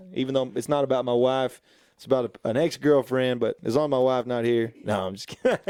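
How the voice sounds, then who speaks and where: A man with a West Texas accent talks at a very fast pace, his medium-pitched voice dark and mellow. His intonation stays fairly even while his loudness swings widely. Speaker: singer-songwriter. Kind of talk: casual interview. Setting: radio studio.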